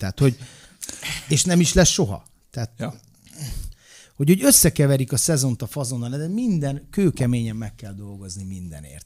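A man's somewhat breathy, dark and mellow voice of medium pitch, with lively intonation at a fairly quick pace against a quiet background. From Hungary. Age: 40s. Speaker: former wrestler and coach; coach. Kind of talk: casual chat. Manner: animated. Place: studio. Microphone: studio mic.

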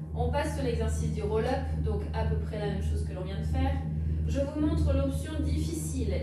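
Loud background noise and audible room echo surround a woman speaking at a moderate pace. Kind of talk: exercise class instruction. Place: home room.

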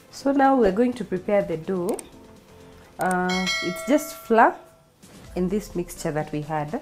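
A woman talks fairly slowly while faint music sounds behind her. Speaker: home cook host. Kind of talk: tutorial. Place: kitchen. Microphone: camera far.

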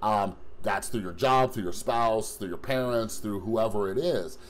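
The pace of this man's speech is fairly slow. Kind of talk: casual vlog chat. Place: home room. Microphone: phone near.

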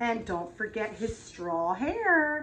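Female speech against faint background noise. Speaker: preschool teacher. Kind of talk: craft tutorial for young children. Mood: warm, gently playful. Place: classroom. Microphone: camera far.

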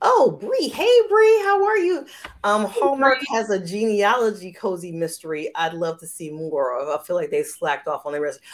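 A woman speaks at a moderate pace. Her loudness swings widely. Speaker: romance author and show host; show host. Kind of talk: live interview chat. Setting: live video stream. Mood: warm, animated. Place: home room. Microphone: video call.

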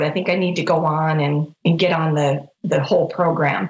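Somewhat breathy speech at a moderate pace, with audible room echo. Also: woman. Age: 50s. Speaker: rheumatoid arthritis patient. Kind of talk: interview. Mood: warm, reflective. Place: home room. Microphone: video call.

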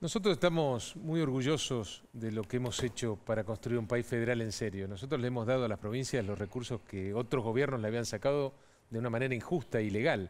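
A man speaks at a fairly quick pace with ordinary pitch variation. He hardly pauses at all. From Argentina. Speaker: government minister; guest. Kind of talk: political interview. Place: studio. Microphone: headset.

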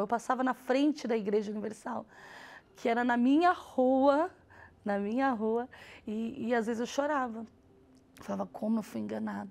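Keeping her intonation fairly even, a woman with a high pitch speaks at a moderate pace. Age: 30s. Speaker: public administrator. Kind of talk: testimony. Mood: emotional, earnest. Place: studio. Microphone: lapel.

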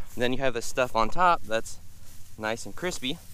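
The man's tone is bright and sharp, and the sound is dry with no echo. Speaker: farmer vlogger. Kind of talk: casual vlog chat. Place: open country. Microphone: phone near.

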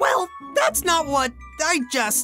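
A man does a cartoonish character voice, extremely high for a man and bright and sharp, with big pitch swings at a slow pace. Faint music plays in the background.

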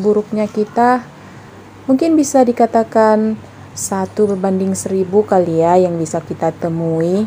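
A woman at a fairly slow pace, with ordinary pitch variation over light background noise. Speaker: home cook vlogger. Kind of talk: casual vlog chat. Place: kitchen. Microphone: phone near.

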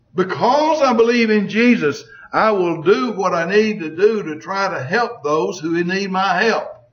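Lively intonation carries this fairly slow delivery, heard with audible room echo. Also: man, high pitch for a man. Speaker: Bible teacher. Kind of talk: Bible lesson.

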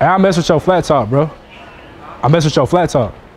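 A man races along at a very fast pace while light background noise sits underneath. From Cleveland, Ohio; Ohio. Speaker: YouTuber vlogger; vlogger. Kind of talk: casual vlog. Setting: in stores, out and about. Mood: loose, joking, profane. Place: shop. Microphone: camera far.

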